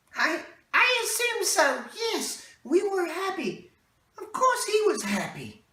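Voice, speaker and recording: In a put-on character voice, a woman squeaks at an extremely high pitch with lively intonation, a fairly slow pace, big swings in loudness and a slight echo. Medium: stage play. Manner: hesitant, stammering.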